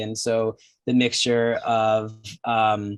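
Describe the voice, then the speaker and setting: A medium-pitched man with a New Jersey accent, flat and monotone, against a quiet background. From New Jersey, US. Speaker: film director. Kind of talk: panel Q&A.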